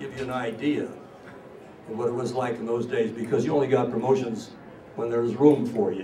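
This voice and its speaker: Over noticeable background noise and audible room echo, a man at a medium pitch speaks with fairly even intonation and long, frequent pauses. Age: 80s+. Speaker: war veteran. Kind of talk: speech to an audience. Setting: stage with audience.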